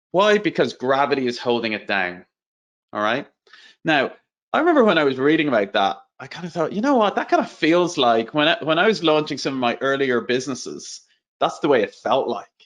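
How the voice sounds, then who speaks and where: Against a quiet background, a man with an Irish accent talks at a fairly quick pace. His pitch is fairly high, with very wide swings. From Ireland. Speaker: entrepreneur and growth strategy speaker. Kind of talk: webinar presentation. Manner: casual, conversational.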